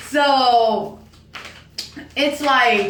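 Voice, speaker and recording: Her tone is animated as the woman speaks. Noticeable background noise and audible room echo fill the recording. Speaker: tarot card reader. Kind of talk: tarot reading monologue. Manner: talkative, animated.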